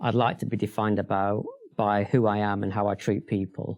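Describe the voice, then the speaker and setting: A man's fairly low voice with a slight Sheffield accent and fairly even intonation. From northern England, Sheffield. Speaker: bank chief executive. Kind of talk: interview.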